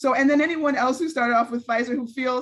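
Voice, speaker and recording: This woman has a high-pitched voice with an American accent. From Los Angeles, US West Coast. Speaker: public health director and physician. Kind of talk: public talk, interview.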